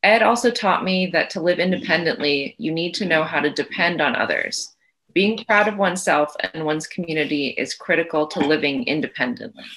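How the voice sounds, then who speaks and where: A woman with a normal speaking voice talks at a fairly quick pace, her pitch fairly low and her intonation lively. The background is quiet. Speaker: interviewee. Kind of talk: interview answer. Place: home room. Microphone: video call.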